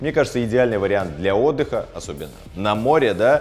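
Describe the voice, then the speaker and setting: Faint background music beneath a man speaking at a moderate speed. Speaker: channel host. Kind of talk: sponsored ad read to camera. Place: home room.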